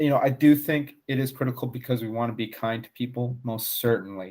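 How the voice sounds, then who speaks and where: A man is speaking. He talks with an American accent. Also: very clean recording, silent background. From United States. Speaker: podcast host. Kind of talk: casual chat.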